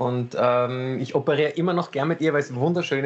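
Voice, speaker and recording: This man has an ordinary speaking voice with a fairly high pitch. He speaks at a moderate pace with fairly even intonation. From Vienna, Austria. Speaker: cabaret comedian and surgeon. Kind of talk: casual chat. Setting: video call.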